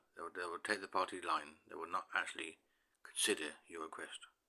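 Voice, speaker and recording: A man in a British accent at a fairly quick pace. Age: 60s. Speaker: YouTuber. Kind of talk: personal monologue. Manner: halting, with many fillers and repetitions.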